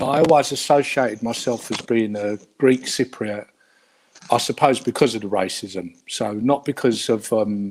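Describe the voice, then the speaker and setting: A man with a Cockney accent, medium in pitch, at a moderate pace with ordinary pitch variation. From London, England. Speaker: guest of Cypriot heritage. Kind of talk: interview. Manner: hesitant.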